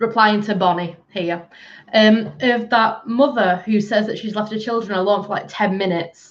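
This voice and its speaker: Moderate in pace, a woman talks. She has a northern English accent. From northern England, Bolton (Greater Manchester). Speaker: livestreamer. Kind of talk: casual chat. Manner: animated.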